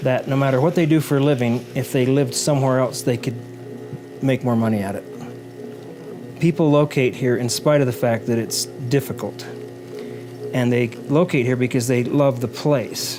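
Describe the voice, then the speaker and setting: Behind the man's voice, music is playing. He holds a medium pitch, and his intonation stays fairly even. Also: moderate pace. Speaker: potter and Spring City resident interviewed for the documentary. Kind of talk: interview answer.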